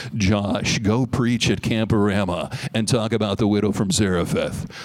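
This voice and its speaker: A man puts on a character voice at a fairly low pitch. He keeps a moderate pace. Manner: radio announcer.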